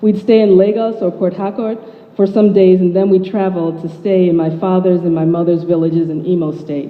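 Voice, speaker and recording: A Midwestern American accent at a moderate pace, with audible room echo and noticeable background noise. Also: woman. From US Midwest, Chicago suburb. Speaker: writer. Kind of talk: speech.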